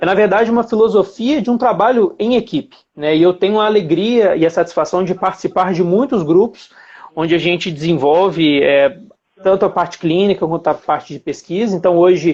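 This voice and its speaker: A man with a Minas Gerais accent speaks at a fairly quick pace in a high pitch, with ordinary pitch variation. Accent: Minas Gerais (mineiro) accent, noticeable. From Brazil, Belo Horizonte (Minas Gerais). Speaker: dentist and implant lecturer. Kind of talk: live-stream lecture. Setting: live stream from home. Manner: hesitant, many fillers.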